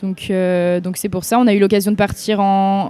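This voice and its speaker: Her intonation stays monotone and flat. The woman's voice sits at a medium pitch and moves at a moderate pace. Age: 20s. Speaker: university student. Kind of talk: testimony.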